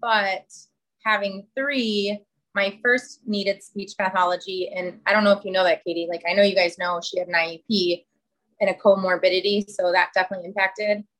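This woman has a normal speaking voice and an American accent. She talks at a moderate pace with fairly even intonation. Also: medium pitch for a woman. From Chicago. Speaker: podcast co-host, mother of three. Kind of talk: casual chat.

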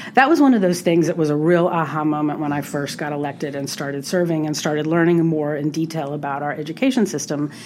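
With an American accent, a woman speaks very fast with hardly any pauses in a very deep, low voice, ordinary pitch variation, and noticeable background noise. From US South, New Orleans. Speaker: state senator. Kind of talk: interview.

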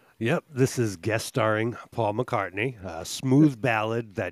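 Over a silent background in a very clean recording, a man with an ordinary speaking voice and fairly low pitch speaks at a moderate pace. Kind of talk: casual chat.

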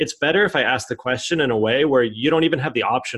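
A man with an American accent speaks at a very fast pace with ordinary pitch variation. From United States. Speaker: author and startup founder. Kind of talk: interview.

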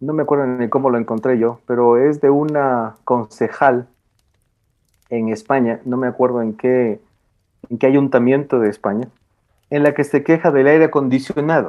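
Long, frequent pauses in a man's moderately paced, medium-pitched speech with fairly even intonation. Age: 40s. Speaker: philosophy and education scholar. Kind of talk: casual chat.

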